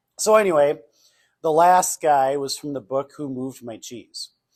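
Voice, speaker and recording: A man with a Minnesotan accent speaks in a fairly high pitch with lively intonation. The sound is dry and close, with no echo. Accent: Minnesota. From northern Minnesota. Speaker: customer service speaker and trainer. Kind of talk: workshop presentation. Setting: banquet hall with audience. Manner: casual, conversational.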